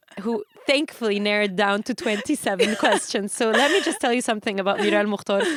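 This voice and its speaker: Over noticeable background noise, a woman talks very fast at a fairly high pitch, with ordinary pitch variation and hardly any pauses. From Egypt. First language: Arabic. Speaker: singer. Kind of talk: interview.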